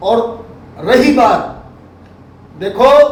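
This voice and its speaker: A man's pitch varies in an ordinary way, with noticeable background noise and audible room echo in the recording. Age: 60s. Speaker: local activist. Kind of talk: public speech. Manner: emphatic.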